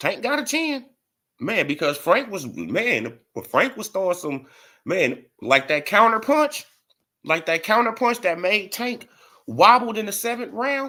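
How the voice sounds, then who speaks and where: A man speaks in a raised, projected voice at a high pitch. His bright, sharp tone moves through very wide pitch swings. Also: fairly slow pace. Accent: New Orleans. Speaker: boxing YouTube streamer. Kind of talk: live stream commentary. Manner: animated.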